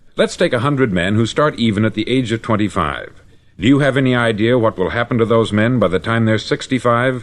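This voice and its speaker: A man talks fairly quickly. He has a plain, everyday voice, pitched in the medium range. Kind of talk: motivational spoken-word lecture. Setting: vintage 1950s studio recording.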